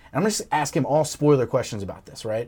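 The recording is very clean, with a silent background. The speaker talks at a very fast pace with lively intonation. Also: man. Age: 30s. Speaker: entertainment journalist. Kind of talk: casual interview.

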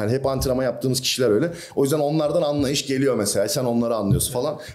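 A man talks very fast at a medium pitch with hardly any pauses, ordinary pitch variation and very even loudness, against noticeable background noise and audible room echo. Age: 20s. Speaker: bodybuilder and fitness coach. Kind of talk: casual chat.

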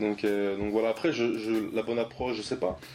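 With fairly even intonation and a fairly low pitch, this man delivers his words at a fairly slow pace. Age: 20s. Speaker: app startup co-founder. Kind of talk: interview.

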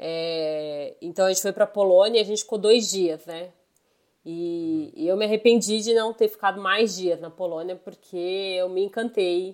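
A woman with an unremarkable speaking voice talks at a medium pitch, with ordinary pitch variation and a fairly slow pace. Her loudness swings widely, and the recording is very clean with a silent background. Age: 30s. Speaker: IT worker, traveler. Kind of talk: casual chat.

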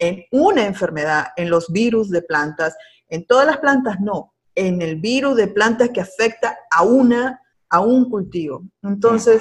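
Somewhat breathy, a woman speaks at a fairly slow pace. Her intonation is lively, with big swings in loudness. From Peru. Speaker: agricultural extension agent. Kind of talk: interview. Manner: halting.

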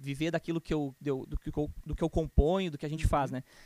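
In a dry, close sound with no echo, a man with an ordinary speaking voice and a fairly high pitch keeps a fairly even intonation. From Rio Grande do Sul, Brazil (Canoas, near Porto Alegre). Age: 20s. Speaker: church musician. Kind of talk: casual interview.

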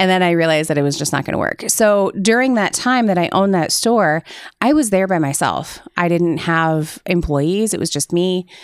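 A woman with an American accent and a plain, everyday voice speaks at a fairly low pitch and moderate pace with ordinary pitch variation, in a very clean recording with a silent background. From Iowa, Cedar Rapids area. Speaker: resiliency coach. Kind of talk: casual chat.

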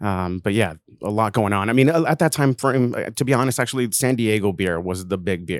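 With an American accent, a man in an unremarkable speaking voice talks fairly quickly at a fairly low pitch with lively intonation, on a very clean recording with a silent background. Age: 30s. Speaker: craft beer brand manager. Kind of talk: casual chat.

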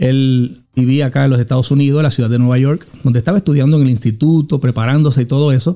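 A man with a dark, mellow tone talks very fast, with hardly any pauses, very even loudness and fairly even intonation. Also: medium pitch for a man. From Puerto Rico, Juana Díaz. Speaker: apostle, former police officer. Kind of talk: testimony.

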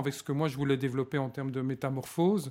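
Here is a man with a normal speaking voice and fairly even intonation, talking at a fairly quick pace. The recording is very clean, with a silent background. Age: 40s. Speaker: organizational change consultant. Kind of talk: interview. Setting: hotel recording session.

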